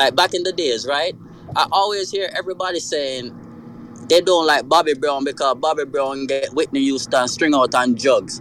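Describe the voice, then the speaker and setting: At a moderate pace and a fairly high pitch, a man talks with ordinary pitch variation over noticeable background noise. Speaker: caller. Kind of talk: call-in discussion. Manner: halting.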